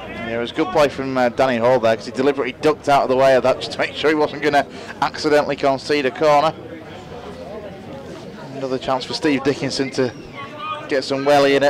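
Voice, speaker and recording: Over noticeable background noise, a man talks at a very fast pace in a monotone, flat intonation, broken by long, frequent pauses. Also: fairly high pitch for a man. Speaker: football match co-commentator. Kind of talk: live football match co-commentary.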